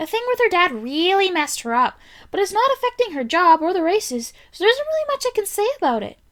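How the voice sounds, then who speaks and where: A woman does a squeaky put-on character voice at an extremely high pitch, talking very fast with very wide pitch swings. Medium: read story. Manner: concerned.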